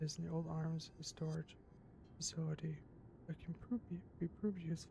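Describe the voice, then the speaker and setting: Quiet and somewhat breathy, a woman's voice has a dark, mellow tone and a very deep, low pitch. She speaks at a fairly quick pace. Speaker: gaming streamer. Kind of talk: live gameplay commentary. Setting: home stream, neighbors upstairs. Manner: quiet, held-down voice.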